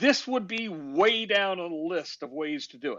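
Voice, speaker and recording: A man with an ordinary speaking voice talks at a moderate pace, his intonation lively. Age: 60s. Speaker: criminal defense lawyer. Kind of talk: casual chat. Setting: online audio room.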